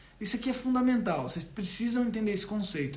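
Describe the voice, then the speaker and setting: Audible room echo surrounds a man speaking in a high pitch. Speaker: doctor. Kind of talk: live stream health talk. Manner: animated.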